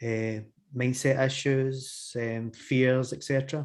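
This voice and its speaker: Speaking at a fairly slow pace, a man with a Glasgow accent talks at a medium pitch. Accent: Scottish (Glasgow). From Scotland, Glasgow. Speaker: hypnotherapist. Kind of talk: interview conversation. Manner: hesitant, many fillers.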